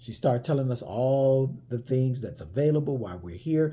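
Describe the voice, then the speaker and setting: A man speaks with an American accent at a moderate pace and medium pitch. His tone is dark and mellow, somewhat breathy, with ordinary pitch variation. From United States. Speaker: vlogger telling travel stories. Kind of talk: casual storytelling monologue. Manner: conversational, with many fillers and repeats.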